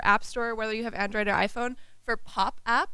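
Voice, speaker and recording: Her voice is high-pitched, bright and sharp. The woman talks at a fairly quick pace. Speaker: UX designer. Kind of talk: conference talk. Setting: stage with audience. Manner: fast.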